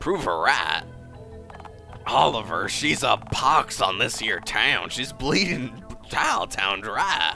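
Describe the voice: A man speaks in a put-on character voice, raspy and at a fairly slow pace, with a medium pitch and very wide pitch swings. Clear music plays in the background.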